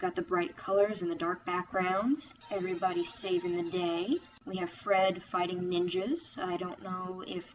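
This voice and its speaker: At a moderate pace, a woman speaks at a medium pitch. Noticeable background noise can be heard. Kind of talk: casual review talk to microphone. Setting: computer microphone.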